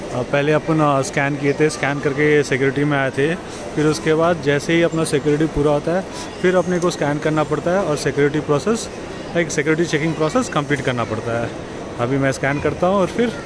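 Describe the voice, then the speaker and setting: A man at a moderate pace with very even loudness and ordinary pitch variation, in a dry sound with no echo and noticeable background noise. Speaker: travel vlogger. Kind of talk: casual vlog chat. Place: hall. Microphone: phone near.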